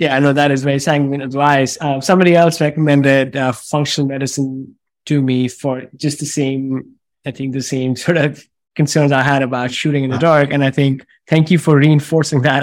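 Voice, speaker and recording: At a fairly quick pace, a man talks with a fairly high pitch and monotone, flat intonation. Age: 40s. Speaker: podcast host.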